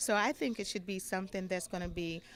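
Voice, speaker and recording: A woman's normal speaking voice at medium pitch, moving at a fairly quick pace. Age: 60s. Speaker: attendee at debate watch party. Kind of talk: street interview.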